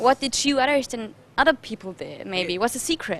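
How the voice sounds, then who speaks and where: A woman with a German accent, high-pitched, lively in intonation, at a fairly quick pace. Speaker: TV presenter. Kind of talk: interview. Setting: TV show.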